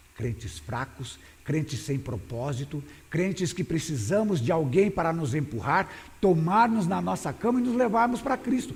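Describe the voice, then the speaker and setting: Amid audible room echo, a man talks at a fairly slow pace with a fairly high pitch and very wide pitch swings. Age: 60s. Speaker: pastor. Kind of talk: sermon. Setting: church. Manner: halting.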